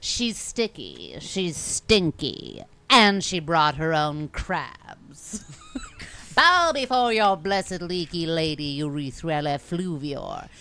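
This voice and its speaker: A put-on character voice with a theatrical tone and middle pitch. The pace is very slow. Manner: theatrical, campy, boastful.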